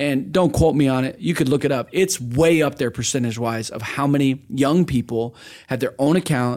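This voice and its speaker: A man's fairly high-pitched voice with ordinary pitch variation, on a very clean recording with a silent background. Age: 20s. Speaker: podcast host. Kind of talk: casual interview. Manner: fast.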